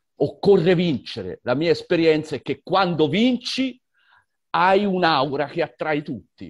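A man with an ordinary speaking voice at a fairly high pitch and a fairly slow pace, in a dry, close sound with no echo. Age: 60s. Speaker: environmental activist and teacher. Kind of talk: online conversation. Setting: video call.

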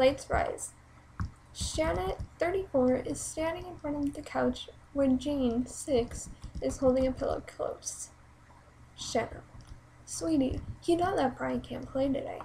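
A woman talks at a fairly slow pace, pausing long and often. Light background noise sits behind her. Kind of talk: reading own play script aloud. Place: home room. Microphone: webcam.

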